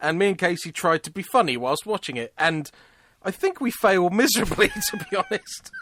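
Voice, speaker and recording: At a fairly quick pace, a man with a British accent speaks in a high-pitched voice, the sound dry and close with no echo. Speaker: podcast co-host. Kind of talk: casual chat. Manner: loud.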